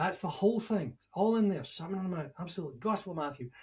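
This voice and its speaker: A man with a Scottish accent speaks in a somewhat breathy voice. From Scotland. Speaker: leadership and management expert, author. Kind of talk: podcast interview.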